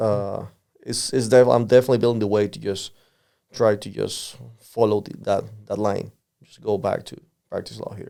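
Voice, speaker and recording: The speech comes at a moderate pace with a Spanish accent. It has big swings in loudness and long, frequent pauses. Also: man. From Panama. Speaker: lawyer, immigrant podcast guest. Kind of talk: interview. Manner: halting, many fillers and repetitions.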